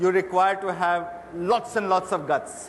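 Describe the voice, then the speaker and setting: A man speaks in a high voice. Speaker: retail executive, interviewer. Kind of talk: stage interview questions.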